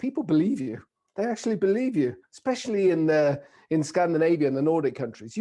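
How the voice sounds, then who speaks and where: Someone talks at a very fast pace with a British accent. The background is quiet. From raised in the UK by Italian parents, living in Norway for 25 years. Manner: playful, humorous storyteller.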